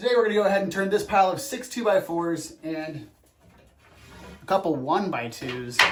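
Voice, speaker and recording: A man speaks at a fairly quick pace with a high pitch and lively intonation. Music plays in the background. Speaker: woodworking YouTuber. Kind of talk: tutorial. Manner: fast.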